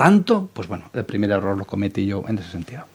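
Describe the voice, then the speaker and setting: A man's voice with very wide pitch swings. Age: 60s. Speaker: entrepreneur and business mentor. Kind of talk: interview. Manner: hesitant, with fillers.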